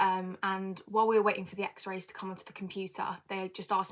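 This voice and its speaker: Speaking very fast, a woman with a British accent uses a medium pitch. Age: 20s. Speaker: podcast host, dance student. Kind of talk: casual personal monologue. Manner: hesitant with many fillers.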